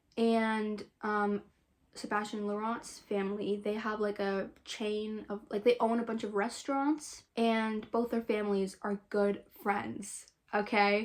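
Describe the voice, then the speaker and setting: A woman speaks at a fairly slow pace with a fairly high pitch and monotone, flat intonation. The recording is very clean, with a silent background. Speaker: booktuber. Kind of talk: book plot recap to camera. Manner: casual, filler-heavy.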